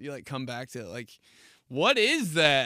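At a fairly quick pace, a man speaks with a bright, sharp tone, the sound dry with no echo against a quiet background. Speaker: podcast host. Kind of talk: casual comedic podcast monologue. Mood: joking, laughing. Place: studio. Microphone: studio mic.

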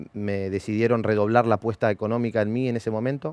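The speaker has a Rioplatense accent and a fairly quick pace. The sound is dry, with no echo. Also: man. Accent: Argentine Spanish (rioplatense). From Argentina, Bahía Blanca; Argentina. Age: 30s. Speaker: former racing driver and driver coach; driver coach. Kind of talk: interview. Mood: calm, reflective. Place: studio. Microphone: headset.

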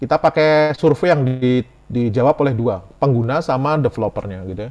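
A man talks with a fairly high pitch and ordinary pitch variation. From Central Java, Semarang; Central Java, Indonesia. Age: 40s. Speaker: IT lecturer and enterprise architecture expert; webinar presenter. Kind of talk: webinar lecture. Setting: video call. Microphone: video call.

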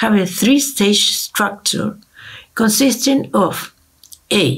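Speaking at a very slow pace, a woman with a Spanish accent swings very widely in pitch against a quiet background. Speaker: ethnomusicology researcher. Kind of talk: lecture. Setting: video call. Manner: formal. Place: home room. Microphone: webcam.

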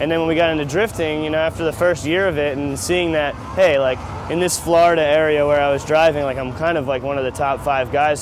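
Over noticeable background noise, a man talks at a very fast pace with ordinary pitch variation, the sound dry with no echo. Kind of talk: interview answer. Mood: upbeat, proud. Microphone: lapel.

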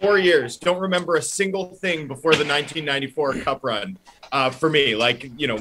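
A man talks at a fairly quick pace with lively intonation. Light background noise sits behind him. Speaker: guest. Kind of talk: interview answer. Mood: cheerful, amused. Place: stadium.

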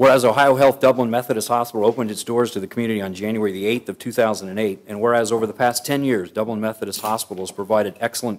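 A man at a very fast pace with fairly even intonation. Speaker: council meeting presiding official. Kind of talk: formal proclamation reading. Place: hall. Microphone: podium.

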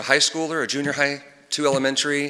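A man with a Texan accent talks at a fairly quick pace in a bright, sharp tone and a fairly high pitch. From Texas, Tomball/Montgomery area. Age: 30s. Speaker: parent speaking at public comment. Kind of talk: public comment at school board meeting.

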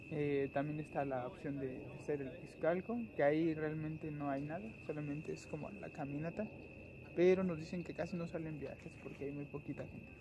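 Noticeable background noise behind a male speaker at a moderate pace. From Mexico, Mexico City area; Mexico. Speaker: travel vlogger. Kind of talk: casual vlog narration. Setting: outdoors. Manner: animated.

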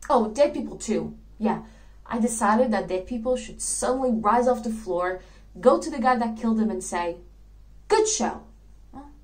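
A woman at a moderate pace, with long, frequent pauses and big swings in loudness. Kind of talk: theatrical monologue. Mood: dreamy, earnest, playful. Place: home room. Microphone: webcam.

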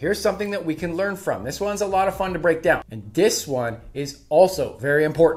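A man talks at a fairly quick pace with a fairly high pitch. His pitch variation is ordinary.

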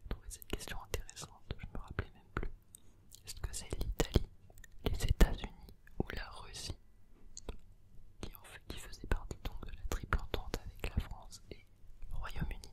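A man's whisper with big swings in loudness and long, frequent pauses. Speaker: ASMR creator. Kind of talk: ASMR quiz read to help sleep. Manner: slow, close whispering. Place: home room. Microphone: studio mic.

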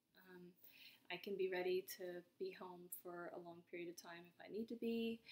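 Moderate pacing from a woman. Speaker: vlogger. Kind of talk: casual vlog chat. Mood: anxious, reflective, subdued. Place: home room. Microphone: webcam.

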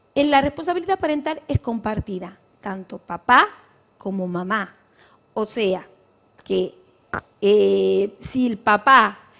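A woman's lively intonation at a very slow pace, against a quiet background. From Argentina, Tucumán province. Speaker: lawyer. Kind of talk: TV interview. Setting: TV studio. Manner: halting. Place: studio. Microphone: headset.

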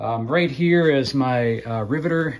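The man talks at a fairly slow speed. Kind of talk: casual tour commentary. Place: garage. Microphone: phone near.

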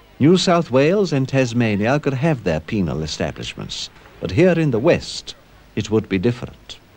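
Amid noticeable background noise, a man's voice makes very wide pitch swings. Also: medium pitch for a man, moderate pace. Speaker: documentary narrator. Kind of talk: 1970s documentary narration, scripted, measured and authoritative.

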